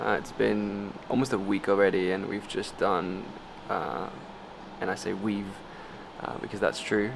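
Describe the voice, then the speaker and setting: Over noticeable background noise, a man with a fairly low pitch talks at a fairly slow pace, with fairly even intonation and long, frequent pauses. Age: 20s. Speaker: YouTuber and entrepreneur. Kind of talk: casual vlog chat. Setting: home after returning to Bali.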